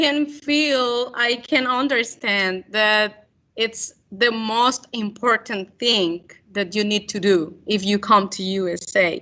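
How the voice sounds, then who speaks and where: A woman with a Spanish accent, fairly high in pitch with ordinary variation, at a very slow pace. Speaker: journalist. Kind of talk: Q&A after a talk. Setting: school event with audience. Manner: halting.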